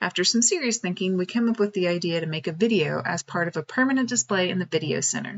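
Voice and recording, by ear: Natural-voiced reading aloud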